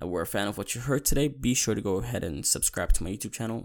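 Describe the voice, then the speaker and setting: Very fast speech from a man with vocal fry and very wide pitch swings. The recording is very clean, with a silent background. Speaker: podcast host, movie fan. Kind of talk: solo casual movie talk. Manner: casual, repetitive with false starts.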